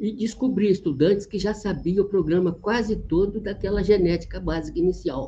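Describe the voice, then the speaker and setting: A man talks at a moderate pace with hardly any pauses. His tone is dark and mellow, with a high pitch and ordinary pitch variation. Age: 80s+. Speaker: retired genetics professor. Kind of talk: interview. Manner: halting.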